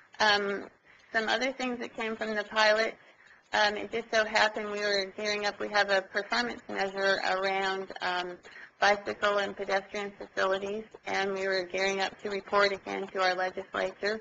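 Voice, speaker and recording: At a moderate pace, a woman with a Pacific Northwest accent talks in a flat monotone, her tone bright and sharp. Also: medium pitch for a woman. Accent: plain Oregon (US Pacific Northwest). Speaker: state transportation agency official. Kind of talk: webinar presentation. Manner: hesitant, many fillers.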